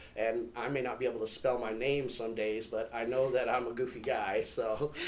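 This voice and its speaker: Amid noticeable background noise and audible room echo, a man with an American accent speaks at a moderate pace and medium pitch in a monotone, flat intonation. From California, Stockton. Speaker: stand-up comedian. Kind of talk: casual interview.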